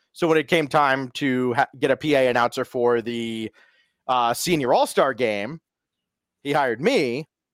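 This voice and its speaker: In a dry, close sound with no echo, a man with an ordinary speaking voice and medium pitch talks at a fairly slow pace with ordinary pitch variation. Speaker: sports announcer and esports caster. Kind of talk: casual interview chat.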